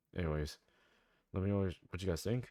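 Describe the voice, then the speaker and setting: On a very clean recording with a silent background, a man speaks in a very deep, low pitch with ordinary pitch variation. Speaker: gaming YouTuber. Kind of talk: casual commentary video. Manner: casual, conversational.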